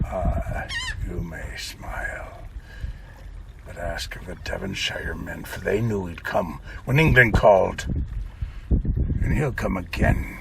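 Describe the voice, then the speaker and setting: Growling and gruff, a man's put-on character voice unfolds at a fairly slow pace with long, frequent pauses, over clear background noise. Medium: read story. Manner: gruff, confiding.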